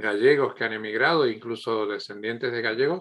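A man's voice at a medium pitch with ordinary pitch variation. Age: 50s. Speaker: podcast host. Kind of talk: interview. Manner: halting, many repetitions.

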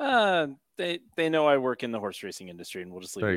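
The voice races at a very fast pace, with big swings in loudness and very wide pitch swings. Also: man, medium pitch for a man. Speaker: podcast producer. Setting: piped in remotely to the show.

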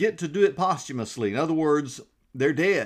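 A man with a Southern US accent talks with lively intonation over a quiet background. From Georgia. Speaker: pastor. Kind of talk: devotional Bible teaching.

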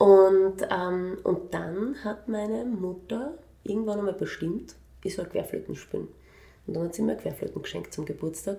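Medium pitch and a dark, mellow tone from a woman with vocal fry, lively intonation and a moderate pace. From Vienna, Austria. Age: 40s. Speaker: children's music educator. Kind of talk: interview. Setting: in her music studio.

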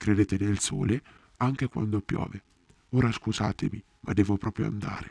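Delivering his lines in a dramatic tone at a moderate pace, a man is heard in a very clean recording with a silent background and a dry, close sound with no echo. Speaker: actor playing Ulysses. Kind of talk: theatrical first-person monologue in character, confiding storytelling to the audience. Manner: dramatic, expressive and intimate, with a wry, self-deprecating tone.

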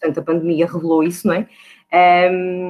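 A woman is speaking. Her pace is moderate. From Portugal, Porto. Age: 30s. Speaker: HR recruiter. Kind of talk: podcast interview. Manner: hesitant, with frequent fillers and repetitions.

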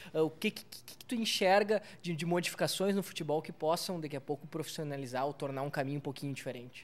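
A man with a southern Brazilian accent, fairly high in pitch, very fast with hardly any pauses and big swings in loudness. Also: ordinary pitch variation. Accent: gaúcho Brazilian Portuguese. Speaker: podcast host. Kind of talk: casual interview. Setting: bar recording space.

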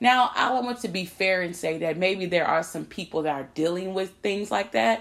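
The delivery is animated, at a moderate pace. The recording is very clean, with a silent background. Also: woman. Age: 30s. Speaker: podcast host. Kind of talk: casual monologue.

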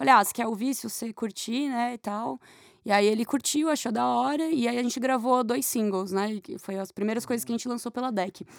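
A woman with a plain, everyday voice speaks at a fairly quick pace, her fairly high pitch showing ordinary variation, on a very clean recording with a silent background. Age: 30s. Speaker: singer and guitarist. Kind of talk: casual chat.

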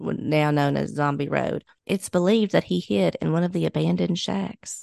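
Heard in a dry, close sound with no echo, a woman with a Kentucky accent talks at a moderate pace. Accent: Kentucky Southern. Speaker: podcast co-host. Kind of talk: casual chat.

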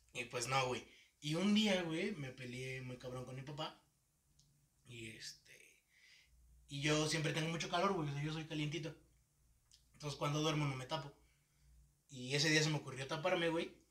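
The speech comes with a Mexican accent at a moderate pace. Its pitch variation is ordinary, broken by long, frequent pauses. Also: man, fairly high pitch for a man. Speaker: podcast host. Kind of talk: casual chat.

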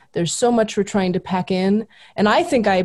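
In a very clean recording with a silent background, a woman with an American accent speaks in a dark, mellow tone. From Southern California. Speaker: history professor. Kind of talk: casual interview.

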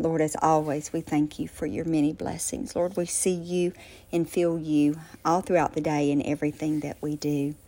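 Deep and very low in pitch, a woman's voice has a dark, mellow, gentle tone and monotone, flat intonation on a very clean recording with a silent background. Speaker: prayer leader. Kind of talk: fervent prayer, spoken aloud to God in a hushed late-night devotional tone. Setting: voice message recorded late at night. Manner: earnest, heartfelt, fervent; gentle, unhurried, with filler ums.

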